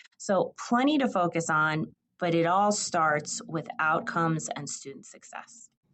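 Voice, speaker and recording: A woman with an American accent and a plain, everyday voice talks at a fairly slow pace, her fairly low pitch carrying lively intonation and big swings in loudness. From New Jersey. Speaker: state higher education official. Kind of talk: podcast interview.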